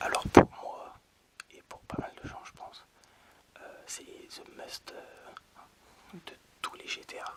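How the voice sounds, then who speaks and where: Over noticeable background noise, a man whispers at a very slow pace. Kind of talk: ASMR video game presentation. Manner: whispered.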